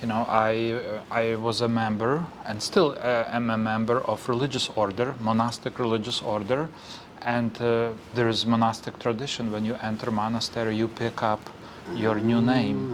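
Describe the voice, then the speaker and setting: Room echo and noticeable background noise surround a man at a medium pitch. He speaks at a moderate pace with fairly even intonation. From western Ukraine, Lviv region. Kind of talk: interview. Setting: chapel. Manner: halting, many fillers.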